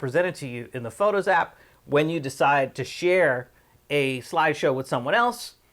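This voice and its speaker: A man with a fairly high pitch and lively intonation is captured in a very clean recording with a silent background. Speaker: tech tutorial youtuber. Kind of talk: tutorial. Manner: fast.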